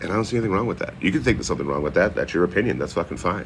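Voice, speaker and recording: This man speaks with a Boston accent. His pitch is very deep and low. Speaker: livestreamer. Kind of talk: casual livestream chat. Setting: outdoors. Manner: animated.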